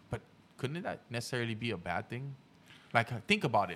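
A man speaks at a fairly quick pace. There is vocal fry in his voice. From Haiti. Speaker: podcast host. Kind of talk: casual chat.

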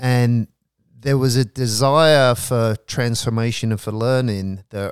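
This man has an ordinary speaking voice at a medium pitch with ordinary pitch variation. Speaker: professor and prison education founder. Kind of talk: casual interview conversation. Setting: home of guest, recorded live in Los Angeles.

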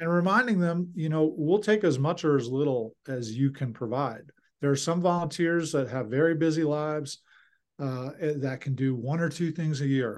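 Against a quiet background, a man with an American accent speaks in a plain, everyday voice. His pitch is fairly high, with ordinary pitch variation and a moderate pace. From Philadelphia. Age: 50s. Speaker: nonprofit director. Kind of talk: interview.

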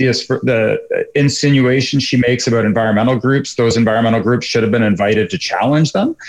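Using a normal speaking voice, a man talks at a fairly quick pace with a medium pitch and ordinary pitch variation. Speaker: energy economist. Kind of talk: radio interview.

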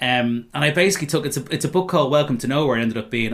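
A man with a Dublin accent talks at a fairly high pitch. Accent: Irish (Dublin). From Dublin, Ireland. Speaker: novelist and former stand-up comedian. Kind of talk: casual interview chat. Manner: fast.

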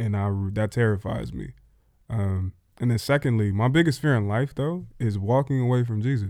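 Recorded very cleanly against a silent background, a man speaks at a moderate pace, his medium-pitched voice dark and mellow in tone. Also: ordinary pitch variation. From US Northeast, Philadelphia. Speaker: pastor. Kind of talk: casual chat.

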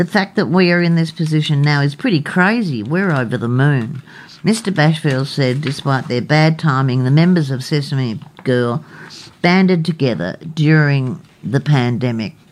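Amid noticeable background noise, a woman with an Australian accent speaks at a very deep, low pitch. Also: lively intonation, moderate pace. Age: 60s. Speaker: radio co-host. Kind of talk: casual radio talk show.

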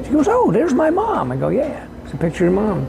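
A relaxed tone over noticeable background noise. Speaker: independent songwriter and musician. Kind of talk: casual interview chat. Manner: relaxed, conversational.

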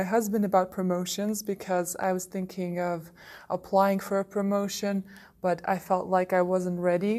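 A woman's dark, mellow voice at medium pitch and a moderate pace. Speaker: learning designer. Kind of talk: recorded personal reflection.

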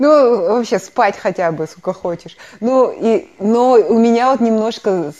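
Her dark, mellow tone rides on lively intonation as the woman speaks. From Kazakhstan. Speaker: podcast co-host. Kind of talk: casual chat.

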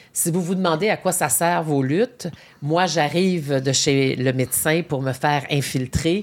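This woman has a very deep, low pitch and a Quebec accent, speaking at a fairly slow pace with ordinary pitch variation. The recording is very clean, the background silent. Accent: Québécois French. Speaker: podcast host. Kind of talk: interview. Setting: studio.

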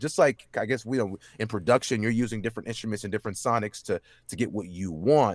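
A man with an American accent at a medium pitch, very fast pace, ordinary pitch variation, and a dry, close sound with no echo. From Dallas, Texas. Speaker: voice actor. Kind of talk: casual interview chat. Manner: fast talker.

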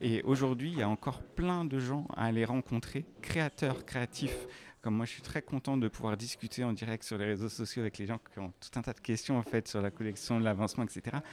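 An ordinary speaking voice from a man, medium in pitch, with ordinary pitch variation and a moderate pace, on a very clean recording with a silent background and a dry, close sound with no echo. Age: 40s. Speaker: fashion designer and entrepreneur. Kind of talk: interview. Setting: corridors of a live industry event.

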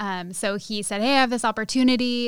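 In an ordinary speaking voice, a woman with an American accent talks at a fairly quick pace with fairly even intonation on a very clean recording with a silent background. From Sacramento area, California. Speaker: restaurant owner. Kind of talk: interview.

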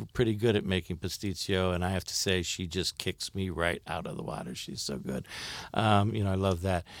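A man's very deep, low voice with an American accent and fairly even intonation, on a very clean recording with a silent background. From Ohio, US Midwest (Akron). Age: 60s. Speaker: stage actor and theater director. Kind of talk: interview.

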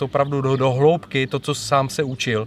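A man speaks at a fairly quick pace. Noticeable background noise runs beneath him. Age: 40s. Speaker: podcast host. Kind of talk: interview and summary narration. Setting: training venue after a session, video recording.

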